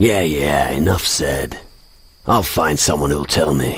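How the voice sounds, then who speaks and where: A put-on character voice from a man, very deep, low and raspy, at a fairly slow pace. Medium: video game. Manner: sarcastic.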